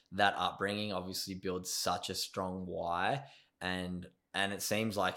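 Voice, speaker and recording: A man with an Australian accent and a very deep, low pitch speaks at a moderate pace in a bright, sharp tone, recorded very cleanly against a silent background. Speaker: podcast host. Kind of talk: casual interview chat. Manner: enthusiastic.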